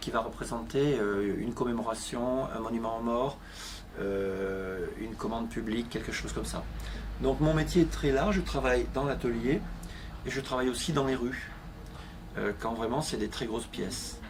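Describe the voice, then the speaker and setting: A man speaks at a moderate pace, leaving long, frequent pauses. The recording has audible room echo. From southern France, Avignon. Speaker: art metal restorer, craftsman. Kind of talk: interview. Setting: workshop.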